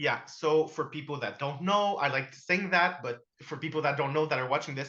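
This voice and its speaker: A man talks at a fairly quick pace with a bright, sharp tone and fairly even intonation. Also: fairly high pitch for a man. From Quebec. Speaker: comics podcast host. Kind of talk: casual chat.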